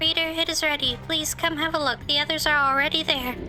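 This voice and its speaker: Over loud background noise, a squeaky put-on character voice rattles along very fast with very even loudness. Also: woman. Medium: game stream. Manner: formal, polite, elaborate phrasing.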